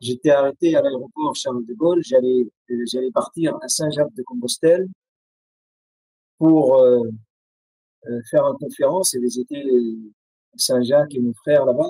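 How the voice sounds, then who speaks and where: In an Arabic accent, a man with a fairly high pitch and a dark, mellow tone speaks at a fairly slow pace with long, frequent pauses, the sound dry and close with no echo. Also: ordinary pitch variation. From Syria. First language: Arabic (speaking French). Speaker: writer and poet. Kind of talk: interview testimony. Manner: halting, many hesitations.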